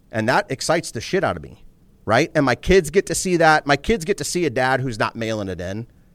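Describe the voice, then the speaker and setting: A man's medium-pitched voice with vocal fry, fairly quick pace, very wide pitch swings and big swings in loudness, in a dry, close sound with no echo. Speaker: entrepreneur. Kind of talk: casual interview conversation. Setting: studio. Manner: candid, profane, intense.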